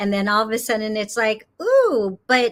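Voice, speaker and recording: A woman's fairly high voice with a Californian accent, on a very clean recording with a silent background. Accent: General American (Californian). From Los Angeles, US West Coast. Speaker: yoga teacher. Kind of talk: interview on a live spiritual show. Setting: studio, live stream. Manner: hesitant, many fillers and repeats.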